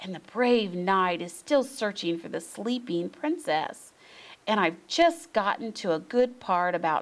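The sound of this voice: The voice reads in an unforced way.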